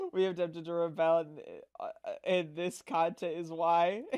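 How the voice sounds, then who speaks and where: In a very clean recording with a silent background, a woman speaks loudly with lively intonation. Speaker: streamer reacting to video. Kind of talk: reaction stream. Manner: animated.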